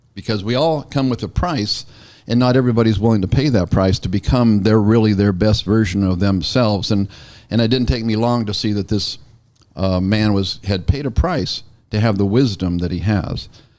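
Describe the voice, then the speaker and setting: A man speaks with a plain, everyday voice. His pitch is fairly low, and his pace is moderate. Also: ordinary pitch variation. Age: 60s. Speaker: real estate broker and show host. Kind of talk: casual interview.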